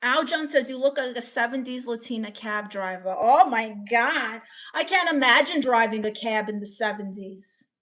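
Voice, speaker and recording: Speaking at a moderate pace with hardly any pauses, a woman with a Brooklyn accent uses lively intonation in a fairly high pitch. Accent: Brooklyn, New York. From Brooklyn, New York. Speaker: streamer reading chat.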